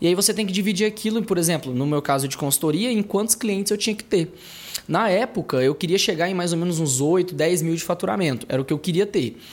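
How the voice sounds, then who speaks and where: Speaking very fast with lively intonation, a man uses a high pitch over noticeable background noise. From Brazil, interior of Tocantins. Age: 20s. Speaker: startup founder. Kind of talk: casual interview.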